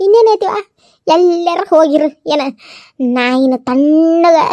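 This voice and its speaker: In a cartoonish character voice pitched extremely high, a woman speaks over dry, close sound with no echo. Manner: muttering, repetitive complaining.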